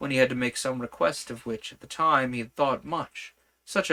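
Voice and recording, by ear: Reading aloud in a natural voice with ordinary pitch variation against a quiet background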